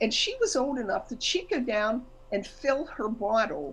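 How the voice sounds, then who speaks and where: A woman's somewhat breathy voice with an animated tone. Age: 60s. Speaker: guest lecturer. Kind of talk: casual talk on a group call.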